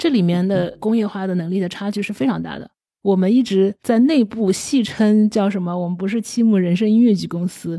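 A woman's medium-pitched, dark, mellow voice at a fairly quick pace, with ordinary pitch variation, hardly any pauses, and a very clean recording with a silent background. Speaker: theatre company founder and CEO. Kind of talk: interview.

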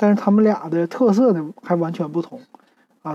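A woman speaks in a plain, everyday voice at a moderate pace. Her pitch sits fairly low, with ordinary pitch variation. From Northeast China, Shenyang. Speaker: podcast host. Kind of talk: casual monologue review. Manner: relaxed, many fillers.

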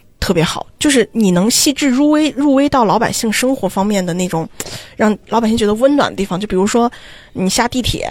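A woman with an unremarkable speaking voice, fairly high in pitch, at a fairly quick pace with lively intonation. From China, Xi'an. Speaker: graduate student abroad. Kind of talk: casual chat.

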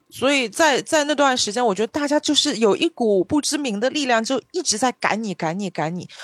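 A woman speaks at a fairly quick pace with lively intonation and an animated tone. The recording is very clean, with a silent background. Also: dry, close sound with no echo. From Shanghai. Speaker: podcast co-host. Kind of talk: casual chat.

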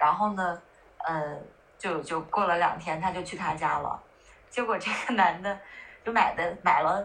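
A woman talks at a moderate pace and a medium pitch, varying it in an ordinary way. Noticeable background noise is heard too. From northern China. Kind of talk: casual chat.

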